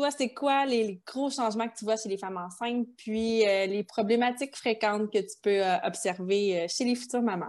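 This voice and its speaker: A woman speaks with a Quebec accent. Her pitch varies in an ordinary way against a quiet background. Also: fairly high pitch for a woman, moderate pace. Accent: Québécois French. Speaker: podcast host, kinesiologist. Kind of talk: interview.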